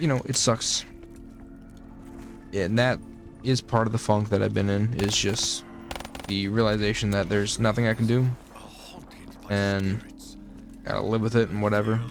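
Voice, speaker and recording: A man mumbles in a monotone, flat way with long, frequent pauses. Music plays in the background. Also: fairly low pitch for a man, moderate pace. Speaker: gaming YouTuber. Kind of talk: casual gameplay commentary. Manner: mumbling; rambling, halting with repeated words.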